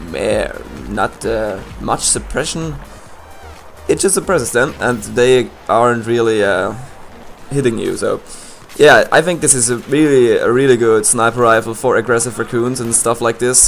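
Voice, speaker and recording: The speaker has a slight Swiss German accent and a moderate pace, broken by long, frequent pauses. Noticeable background noise runs underneath. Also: man. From Switzerland. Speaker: gaming commentator. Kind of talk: gameplay commentary. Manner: halting.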